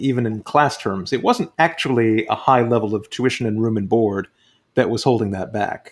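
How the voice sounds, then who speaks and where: A man speaks at a medium pitch in a plain, everyday voice. The recording is very clean, with a silent background. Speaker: podcast host and author. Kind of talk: interview questions.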